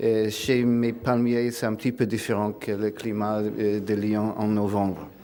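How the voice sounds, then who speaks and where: A man at a very slow pace with hardly any pauses, monotone, flat intonation, and audible room echo. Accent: non-native. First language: not French (speaking French). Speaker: philosopher. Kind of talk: lecture. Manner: reading aloud; hesitant, many filler sounds.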